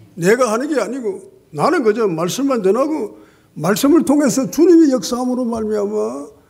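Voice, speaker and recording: A man at a moderate pace with very wide pitch swings, audible room echo around him. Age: 80s+. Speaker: pastor. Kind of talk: sermon.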